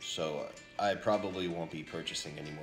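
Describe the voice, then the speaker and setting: A man talks with a very deep, low pitch and fairly even intonation. Audible room echo surrounds him, and clear music plays in the background. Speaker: vlogger. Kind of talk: casual vlog chat. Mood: light, amused. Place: home room. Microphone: phone near.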